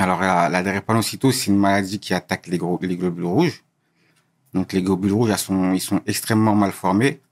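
Against background music, a man with a very deep, low pitch speaks at a moderate pace, his loudness very even and his intonation fairly even, in a dry, close sound with no echo. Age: 20s. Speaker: guest sharing personal story. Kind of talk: interview testimony. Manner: halting, many repetitions and hesitations.

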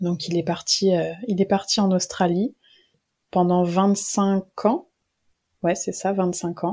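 Very slowly, with long and frequent pauses, a woman speaks in a medium pitch and a dark, mellow, somewhat breathy tone, her intonation monotone and flat, the recording very clean against a silent background. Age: 20s. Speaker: history student and archives employee. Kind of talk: casual interview about a book.

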